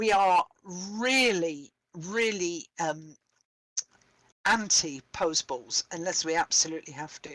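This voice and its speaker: Speaking with a slight British accent, a woman has a fairly low pitch and lively intonation, and her loudness swings widely. She goes at a very slow pace with long, frequent pauses, in a dry, close sound with no echo. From Britain. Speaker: theatre director and playwright. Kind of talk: workshop discussion. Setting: live-streamed online workshop.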